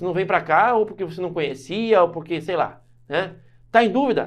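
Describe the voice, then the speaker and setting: In an animated tone, a man speaks at a high pitch with ordinary pitch variation. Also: moderate pace. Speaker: law teacher for civil service exams. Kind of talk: online lecture. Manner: loud, shouts a lot.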